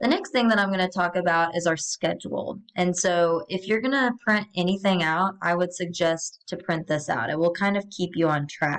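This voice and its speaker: A woman speaks in an unremarkable speaking voice with hardly any pauses. Her pitch is fairly low with ordinary pitch variation. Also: moderate pace. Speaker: college math instructor. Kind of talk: course welcome video tutorial. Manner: casual with many fillers.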